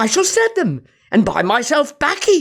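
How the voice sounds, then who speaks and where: A man performs a put-on character voice at an extremely high pitch, with very wide pitch swings and a moderate pace. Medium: read story.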